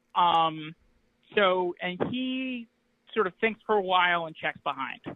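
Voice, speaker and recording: A loud man with a high pitch speaks at a fairly slow pace with ordinary pitch variation. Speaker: poker player calling in with a hand. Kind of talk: hand review discussion. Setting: call-in from home apartment.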